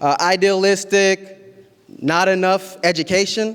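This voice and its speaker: Against noticeable background noise, a man speaks with a high pitch. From Columbus, Ohio, US (Somali Bantu family, born in Kenya). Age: 20s. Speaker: community organizer, nonprofit founder. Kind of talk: public speech.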